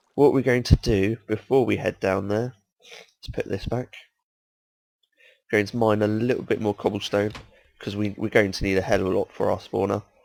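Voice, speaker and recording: A man with a British accent speaks at a moderate pace in a fairly low voice with fairly even intonation and a dry, close sound with no echo. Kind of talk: casual gameplay commentary.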